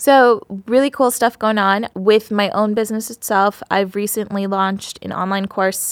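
Using a plain, everyday voice, a woman with an American accent talks at a moderate pace with medium pitch, fairly even intonation and hardly any pauses, in a dry, close sound with no echo. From Queens, New York, from age two to ten. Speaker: business consultant, former attorney. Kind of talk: interview, casual chat.

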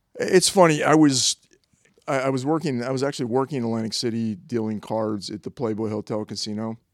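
A man with a plain, everyday voice, fairly quick in pace with ordinary pitch variation, in a dry, close sound with no echo and a very clean recording over a silent background. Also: medium pitch for a man. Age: 50s. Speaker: model, actor and set builder. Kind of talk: casual interview. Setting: at home.

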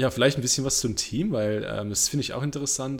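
The man's pitch is medium, with ordinary variation and some vocal fry. He talks at a fairly quick pace. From Warwickshire, England. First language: English (speaking German). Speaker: motorsport podcast host. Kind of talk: casual chat. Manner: halting.

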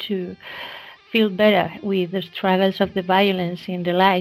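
Music plays in the background as the speaker talks with a Spanish accent. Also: woman. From Spain. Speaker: podcast host. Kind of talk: interview. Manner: halting.

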